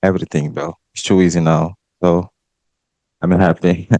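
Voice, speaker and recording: A man's very deep, low voice in a Brazilian accent at a fairly slow pace. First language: Portuguese. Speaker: esports pro player. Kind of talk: press conference answers.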